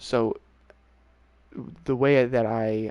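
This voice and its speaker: Mumbled speech with fairly even intonation. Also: man. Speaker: video game streamer. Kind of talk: casual chat. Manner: mumbling; fast.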